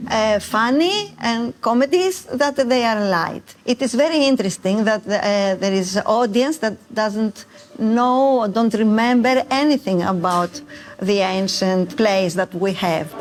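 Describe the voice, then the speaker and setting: Over noticeable background noise, a woman with a Greek accent speaks at a fairly slow pace and very even loudness, her fairly high voice carrying lively intonation. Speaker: actress. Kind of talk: interview. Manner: halting.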